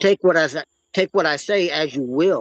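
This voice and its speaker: With ordinary pitch variation, a man speaks in a dry, close sound with no echo. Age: 60s. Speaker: open mic participant in a live audio chat. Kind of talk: casual discussion. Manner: halting, with frequent repetitions.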